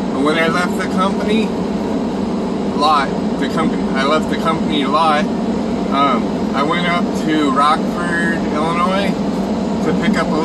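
A man speaks at a fairly slow pace with ordinary pitch variation and long, frequent pauses over loud background noise. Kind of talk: casual vlog chat. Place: car. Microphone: phone near.

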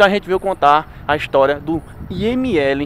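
Despite loud background noise, the man's voice sounds dry, with no echo. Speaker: ghost-hunting vlogger. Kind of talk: casual vlog chat. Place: open country. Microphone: phone near.

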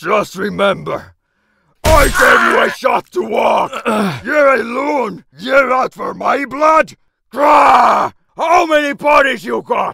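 This man puts on a character voice pitched extremely high. He projects it loudly at a fairly slow pace. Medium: dub. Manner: angry, shouting.

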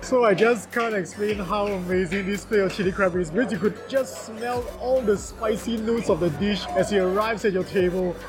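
Against clear background music, a man with a high pitch talks at a fairly quick pace with hardly any pauses and fairly even intonation. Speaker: food reviewer. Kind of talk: food review commentary. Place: hall. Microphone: phone near.

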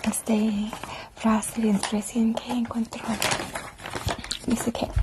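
Over loud background noise, a soft-spoken woman whispers at a very slow pace. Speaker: ASMR creator playing a friend. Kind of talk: ASMR roleplay. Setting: studio microphone. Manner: whispered, soft-spoken. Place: home room. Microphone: lapel.

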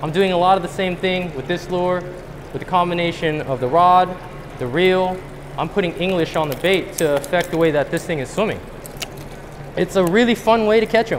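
Over noticeable background noise, a man with a high pitch and ordinary pitch variation talks at a fairly quick pace, with long, frequent pauses. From US West Coast. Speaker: professional angler giving a seminar; presenter. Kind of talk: seminar talk to a live audience. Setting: stage with audience at a fishing show. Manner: animated. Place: hall.

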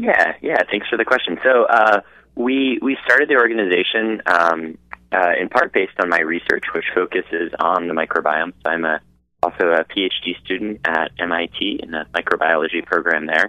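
Over a quiet background, a man with a very deep, low pitch speaks at a moderate pace with ordinary pitch variation, the sound dry with no echo. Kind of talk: interview answer. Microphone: phone line.

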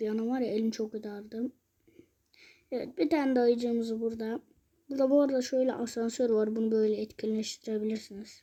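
A woman with an unremarkable speaking voice talks at a fairly quick pace and a fairly high pitch. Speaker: mobile gaming youtuber. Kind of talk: gameplay commentary. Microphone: phone mic, muffled when touched.

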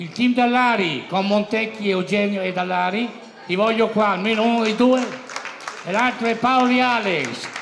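Against crowd noise and audible room echo, a man with a high pitch speaks at a moderate pace with fairly even intonation. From Emilia, Reggio Emilia Apennines. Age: 80s+. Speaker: sports commentator celebrating his birthday. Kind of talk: party speech. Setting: party hall with audience.

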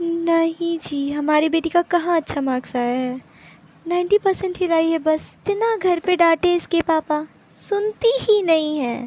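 A woman speaks at an extremely high pitch with ordinary pitch variation. Her pace is very slow, and the sound is dry with no echo. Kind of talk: acted phone conversation, comedy skit. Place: home room. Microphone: phone near.

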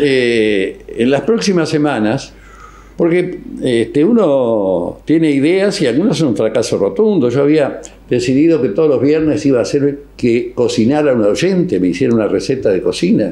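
Over noticeable background noise, a man with a Rioplatense accent speaks at a moderate pace and fairly high pitch, with very wide pitch swings and very even loudness. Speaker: radio host. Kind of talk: casual interview. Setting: studio. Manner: animated.

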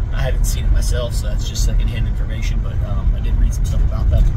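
A man's voice over loud background noise. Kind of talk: casual vlog chat. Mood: sober, reflective. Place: car. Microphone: phone near.

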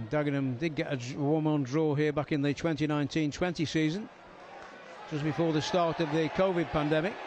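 This man has an unremarkable speaking voice, fairly high in pitch, moving at a moderate pace with very even loudness. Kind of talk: live football match commentary. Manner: excitable, rising in pitch at goals and red card.

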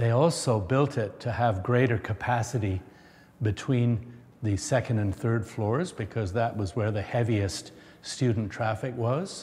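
A man talks fairly slowly in a somewhat breathy voice, his pitch varying in an ordinary way. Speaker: school alumni tour guide. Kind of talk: guided tour explanation. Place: hall.

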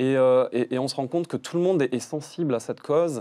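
Talking at a very fast pace over a quiet background, a man uses a fairly high pitch and a dark, mellow tone. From France, Toulouse; France. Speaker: artist photographer; guest. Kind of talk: TV interview. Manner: halting, many fillers and repetitions. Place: studio. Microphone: lapel.

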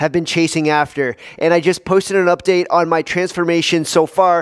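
A man talks at a moderate pace. His pitch is high, and the background is quiet. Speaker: fitness channel host. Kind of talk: casual vlog chat. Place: gym. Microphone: headset.

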